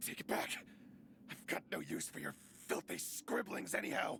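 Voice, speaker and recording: Growling in a put-on character voice, a man talks at a moderate pace. Clear background noise is present. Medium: video game.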